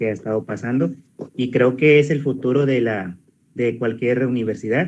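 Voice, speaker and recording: This man speaks in a Mexican accent at a medium pitch. His intonation is fairly even. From Mexico. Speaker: teacher. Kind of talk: class discussion. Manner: halting.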